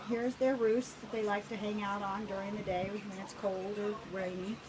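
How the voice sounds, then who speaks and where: Moderate-paced speech from a woman with a medium pitch, with audible room echo and noticeable background noise. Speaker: backyard chicken keeper. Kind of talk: casual video tour.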